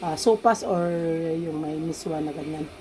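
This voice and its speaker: The woman's voice has a dark, mellow tone and a fairly low pitch. She speaks at a moderate pace. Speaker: cooking vlogger. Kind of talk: cooking tutorial. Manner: casual.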